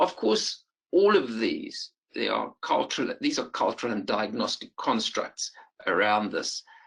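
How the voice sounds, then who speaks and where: Speaking at a fairly slow pace, a man talks with a South African accent. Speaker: perinatal psychiatrist. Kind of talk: lecture. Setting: webinar. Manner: halting, many fillers.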